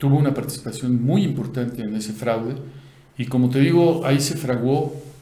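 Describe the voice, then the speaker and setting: Audible room echo surrounds a man speaking at a moderate pace, with a medium pitch and ordinary pitch variation. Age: 60s. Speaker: news commentator. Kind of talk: casual political discussion.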